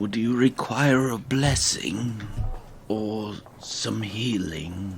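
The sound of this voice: A man uses a put-on character voice at a medium pitch with ordinary pitch variation, speaking at a very slow pace. Background noise is clearly heard.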